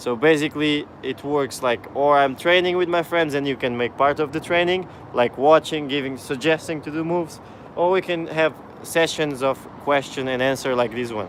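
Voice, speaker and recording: A non-native accent at a moderate pace, with ordinary pitch variation and noticeable background noise. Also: man, fairly high pitch for a man. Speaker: parkour coach and YouTuber. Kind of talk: live stream Q&A. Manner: casual, halting with restarts.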